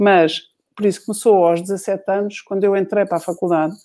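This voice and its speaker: Fairly even intonation and a dark, mellow tone from a woman. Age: 50s. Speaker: journalist and author. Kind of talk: interview conversation. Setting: online live video chat.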